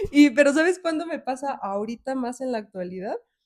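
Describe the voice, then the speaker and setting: Lively intonation from a woman at a moderate pace. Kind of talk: casual chat. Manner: loud, sounds like shouting.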